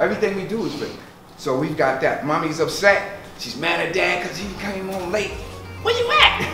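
An American-accented man at a fairly quick pace, with audible room echo and noticeable background noise. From Brooklyn, New York. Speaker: performer and percussion workshop teacher. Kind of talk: talk at a community presentation. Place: kitchen.

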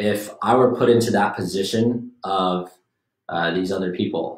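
This man's voice sits fairly low, with fairly even intonation. Audible room echo surrounds him, over a quiet background. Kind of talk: casual discussion. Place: meeting room. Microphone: camera far.

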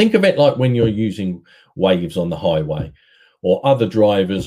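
A dark, mellow tone at a moderate pace, with ordinary pitch variation. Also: man.

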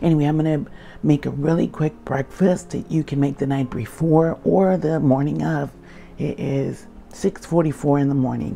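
A woman does a raspy put-on character voice with a very deep, low pitch at a moderate pace, with clear background noise. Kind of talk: quiet, casual vlog tone.

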